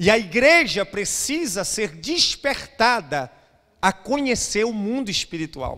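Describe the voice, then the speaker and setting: Against a quiet background, a man with a Brazilian accent speaks at a very slow pace. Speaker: pastor. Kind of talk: sermon. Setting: church. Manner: emphatic, urgent preacher in full flow, repeating phrases for effect; exhorting, direct appeals to the congregation. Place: church. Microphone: handheld.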